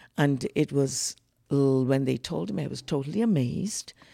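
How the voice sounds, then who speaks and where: A woman with a very deep, low pitch and a dark, mellow tone speaks at a moderate pace in a Bahamian accent, with a dry, close sound and no echo. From The Bahamas. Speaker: soprano singer, producer and guest. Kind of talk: casual interview conversation.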